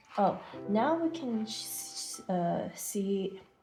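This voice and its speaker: A woman's voice with music in the background. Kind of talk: product demo narration. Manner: stuttering.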